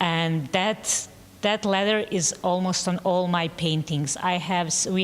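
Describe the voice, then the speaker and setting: A woman speaks with a Bosnian accent and a fairly low pitch. Her pace is fairly slow. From Bosnia, Sarajevo. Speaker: painter. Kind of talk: panel discussion. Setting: gallery talk with live audience. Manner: halting.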